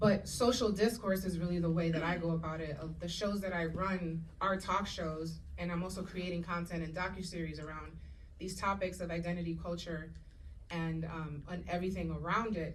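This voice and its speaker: Moderate pace with audible room echo. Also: woman, fairly low pitch for a woman. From Puerto Rico and Dominican Republic. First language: Spanish. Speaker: actress and showrunner. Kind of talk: panel discussion. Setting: stage with audience. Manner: animated.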